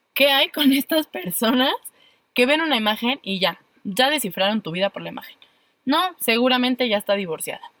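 With a Mexican accent, a woman talks at a fairly quick pace with a high pitch, a bright, sharp tone and lively intonation, in a dry, close sound with no echo. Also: big swings in loudness. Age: 20s. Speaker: podcast co-host, psychologist. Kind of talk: casual chat.

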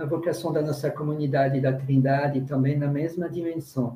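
This man's fairly high voice has a dark, mellow tone and some breathiness, delivered at a moderate pace in a flat monotone. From France, rural. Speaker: religious brother, community worker. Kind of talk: panel discussion testimony.

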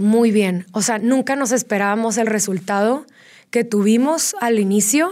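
A woman with a plain, everyday voice and fairly high pitch talks at a moderate pace with ordinary pitch variation. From Mexico, Tijuana. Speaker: fitness studio founder. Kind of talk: interview.

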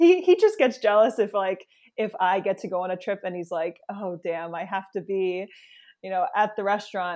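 A woman with an American accent speaks at a moderate pace in a plain, everyday voice of medium pitch with fairly even intonation. The recording is very clean, with a silent background. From New York City area, US. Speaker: travel blogger. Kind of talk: interview.

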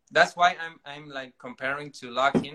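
Fairly high-pitched and bright, sharp in tone, a man with a Spanish accent talks at a fairly slow pace. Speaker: dancer. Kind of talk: casual chat. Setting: online livestream. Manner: halting.

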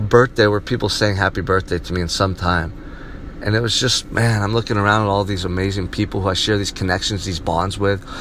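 Against noticeable background noise, a man with a fairly low pitch talks at a fairly quick pace in an animated tone. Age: 30s. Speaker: vlogger. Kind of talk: personal monologue. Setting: in a car.

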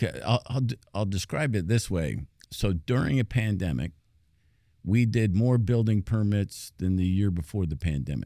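In a very clean recording with a silent background, a man with an American accent speaks at a moderate pace in a fairly low, dark, mellow voice with ordinary pitch variation. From mixed US upbringing, finished school in North Carolina. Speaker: city manager. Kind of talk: interview. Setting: studio.

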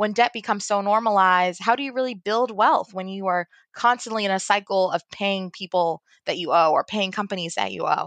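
A woman's unremarkable speaking voice with an American accent, medium in pitch with ordinary pitch variation, at a fairly quick pace, in a dry, close sound with no echo and a quiet background. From US, Baltimore, Maryland. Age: 20s. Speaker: personal finance and travel blogger. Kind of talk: interview.

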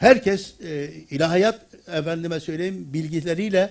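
A man talks very slowly in a high voice. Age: 70s. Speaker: retired theology professor. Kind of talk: lecture.

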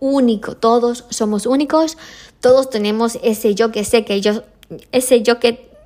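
The speaker is a woman with a plain, everyday voice and a fairly high pitch. She keeps a fairly slow pace and fairly even intonation. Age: 30s. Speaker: podcast host. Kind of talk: solo motivational monologue. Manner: casual, with many fillers.

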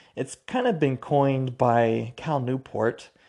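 Speaking in an American accent, a man's tone comes across dark and mellow. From US Pacific Northwest, Spokane, Washington. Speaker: podcast host. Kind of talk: solo monologue podcast. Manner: halting, with many fillers and restarts.

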